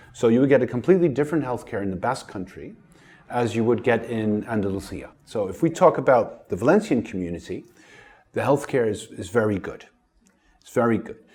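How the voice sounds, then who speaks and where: A plain, everyday voice, this man talks at a fairly quick pace and medium pitch with lively intonation and big swings in loudness, on a very clean recording with a silent background. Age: 60s. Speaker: family doctor. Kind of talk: interview.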